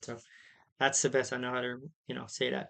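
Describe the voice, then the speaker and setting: Monotone, flat intonation in an American accent against a quiet background. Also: man. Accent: Amish accent noticed by viewers. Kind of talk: livestream Q&A. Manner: casual, conversational.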